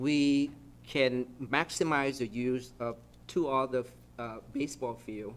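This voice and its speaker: The recording is very clean, with a silent background. Delivery is very slow, and the intonation stays fairly even. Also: man, medium pitch for a man. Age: 60s. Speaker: city council member. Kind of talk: council meeting deliberation.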